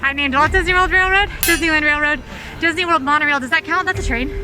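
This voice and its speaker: Over noticeable background noise, a woman talks very fast in a raised, projected voice with extremely high pitch. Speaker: video host. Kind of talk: casual vlog chat.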